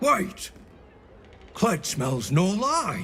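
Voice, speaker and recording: A man uses a put-on character voice, high and raspy. Clear background noise runs underneath. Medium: video game. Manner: refers to himself in third person.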